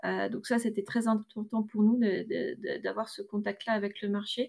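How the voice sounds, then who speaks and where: A woman speaks at a moderate pace in a fairly high pitch. Her intonation is flat and monotone. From northern France, Roubaix. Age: 30s. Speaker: grocery shop co-owner, entrepreneur. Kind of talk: testimony.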